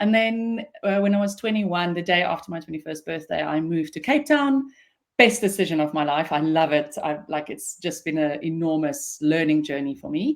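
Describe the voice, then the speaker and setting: On a very clean recording with a silent background, a woman with an Afrikaans accent speaks at a fairly low pitch and moderate pace with lively intonation. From South Africa, Pretoria. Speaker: business founder and CEO. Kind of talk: interview.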